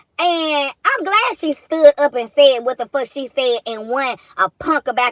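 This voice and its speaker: A woman projects a raised, high-pitched voice with an animated tone and ordinary pitch variation. Her pace is moderate, and the recording is dry and close with no echo. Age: 40s. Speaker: commentary streamer. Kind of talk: casual rant.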